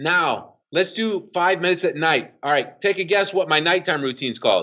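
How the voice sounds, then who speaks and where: A man speaks at a high pitch with ordinary pitch variation and very even loudness. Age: 50s. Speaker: fitness coach and author. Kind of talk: podcast interview. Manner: fast.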